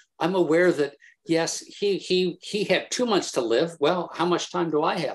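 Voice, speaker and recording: Speaking at a moderate pace, a man with an American accent has a high pitch. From US Midwest, Indiana. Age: 60s. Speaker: landscape painter. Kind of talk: artist talk. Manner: halting, many self-repeats.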